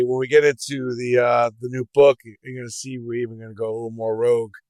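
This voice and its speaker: In a New York accent, the speaker goes at a very fast pace, captured with a dry, close sound and no echo. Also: man. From New York City (Brooklyn). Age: 60s. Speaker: entrepreneur. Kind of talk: podcast interview.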